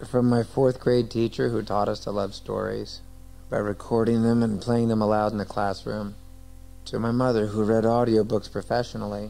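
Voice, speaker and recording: With music playing behind him, a man talks at a moderate pace with an American accent. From United States. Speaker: actor. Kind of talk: audiobook narration. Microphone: old recording.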